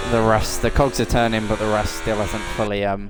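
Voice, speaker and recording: Noticeable background noise and audible room echo surround a man with a Norfolk accent. His pitch sits fairly low and his pace is moderate. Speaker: sim racing commentator. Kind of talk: live commentary. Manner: casual, rambling with fillers.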